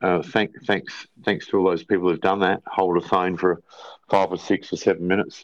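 Over a quiet background, a man with an Australian accent speaks at a moderate pace in a very deep, low pitch. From South Australia, rural farm near Port Wakefield. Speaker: drummer and band manager. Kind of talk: casual interview chat. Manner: halting, many fillers.

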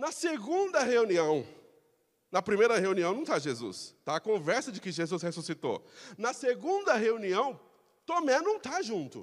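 With a Brazilian accent, the speaker uses an animated tone, very wide pitch swings and a moderate pace. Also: man, high pitch for a man. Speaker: pastor. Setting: church. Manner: animated, rhetorical, exhorting the congregation with direct questions; impassioned, urgent, emphatic and conversational.

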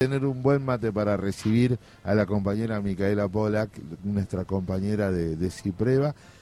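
His voice is fairly low for a man, with a dark, mellow tone, ordinary pitch variation and a moderate pace. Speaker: community radio host. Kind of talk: radio interview.

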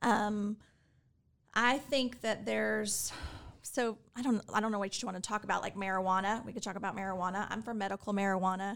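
In a very clean recording with a silent background, a woman with an American accent speaks at a fairly quick pace in a plain, everyday voice, medium in pitch with fairly even intonation. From Texas, Fort Worth. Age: 40s. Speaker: political candidate and attorney. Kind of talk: interview.

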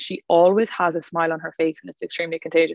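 With an Irish accent, a woman speaks at a fairly low pitch. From Ireland, County Clare. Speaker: wellness retreat organizer. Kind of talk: casual chat. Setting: video call. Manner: animated.

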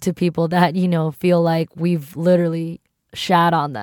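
A woman speaks at a moderate pace in an American accent, her pitch fairly low. It is an ordinary speaking voice on a very clean recording with a silent background. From US East Coast. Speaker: podcast co-host. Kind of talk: casual chat.

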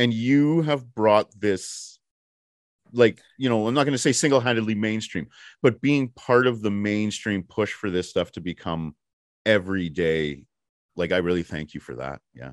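A man with an unremarkable speaking voice and fairly low pitch talks at a moderate pace with lively intonation and big swings in loudness, against a quiet background. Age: 40s. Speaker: podcast host. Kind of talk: interview.

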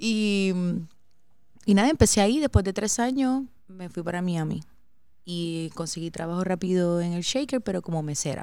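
On a very clean recording with a silent background, a woman with a medium pitch and a dark, mellow tone speaks at a moderate pace with lively intonation and long, frequent pauses. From Puerto Rico, San Juan area. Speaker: bartender, podcast co-host. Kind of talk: casual chat.

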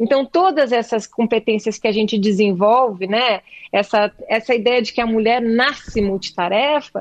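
A woman with fairly high pitch and ordinary pitch variation speaks at a moderate pace, with big swings in loudness and a dry, close sound with no echo. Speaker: actress and playwright. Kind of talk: interview. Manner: halting, many repetitions.

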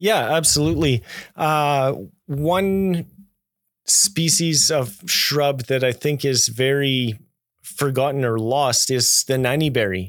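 Very even in loudness, a man with a Canadian accent speaks at a very slow pace, his pitch fairly high with ordinary variation. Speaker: arborist. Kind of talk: interview.

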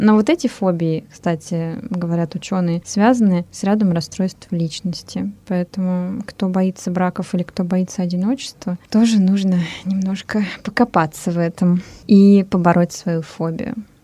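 Speaking at a fairly slow pace, a woman has a plain, everyday voice of medium pitch with fairly even intonation. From Russia. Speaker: radio host. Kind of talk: casual chat. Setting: studio.

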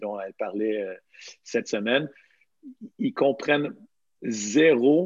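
In a dry, close recording with no echo, a man talks at a medium pitch. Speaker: podcast host, CrossFit coach. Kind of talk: casual chat.

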